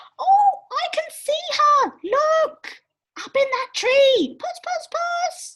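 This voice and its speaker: This put-on character voice is squeaky and female-sounding, pitched extremely high for a woman and delivered at a very slow pace. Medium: read story. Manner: calm, reassuring.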